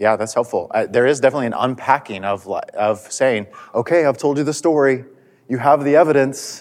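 With ordinary pitch variation, the man talks at a medium pitch. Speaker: church class teacher and college administrator. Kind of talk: Bible class teaching. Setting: church classroom with attendees at tables. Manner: fast talker.

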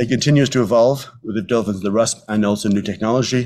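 Someone with a Dublin accent talks at a fairly quick pace on a very clean recording with a silent background. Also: man. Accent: Irish (Dublin). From Ireland, Dublin. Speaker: physician, medical geneticist. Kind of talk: lecture. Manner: fast.

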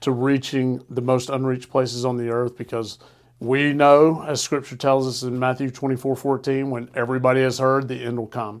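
In a slight Southern US accent, the speaker delivers monotone, flat intonation at a moderate pace on a very clean recording with a silent background. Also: man. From Alabama. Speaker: nonprofit executive. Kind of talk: casual interview chat.

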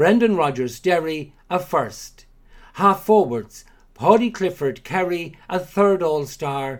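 Speaking very slowly, a man uses lively intonation at a high pitch. He talks in an Irish accent. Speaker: Gaelic games commentator. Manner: measured, formal, clear; steady rhythm with short pauses between names and awards.

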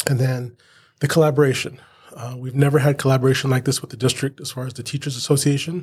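The voice is somewhat breathy, with an American accent and a monotone, flat intonation. It moves at a very fast pace with big swings in loudness. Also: man, medium pitch for a man. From Southern California (Inland Empire). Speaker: teacher and union president. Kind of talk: interview. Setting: not in the studio.

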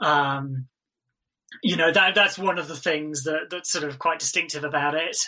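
Fairly even intonation in a British accent, at a moderate pace. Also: man, fairly high pitch for a man. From England. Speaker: film editor, Cambridge graduate. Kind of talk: casual interview. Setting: remote call during lockdown. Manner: hesitant, filler-heavy, laughs.

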